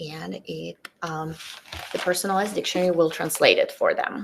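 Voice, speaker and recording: A woman with a Russian accent at a moderate pace. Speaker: teacher presenter. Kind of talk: tutorial.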